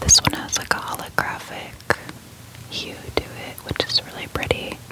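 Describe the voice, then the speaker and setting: Whispering at a moderate pace. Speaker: ASMR content creator. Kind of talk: ASMR soft-spoken card showcase. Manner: soft-spoken, calm.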